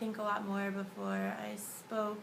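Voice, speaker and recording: There is audible room echo and noticeable background noise. Through it, a woman speaks at a medium pitch. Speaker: dental student. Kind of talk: video diary.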